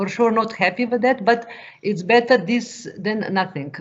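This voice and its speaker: A woman speaks with a Slovenian accent and fairly even intonation. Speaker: farm advisor. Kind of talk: question in webinar Q&A. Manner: halting, many hesitations.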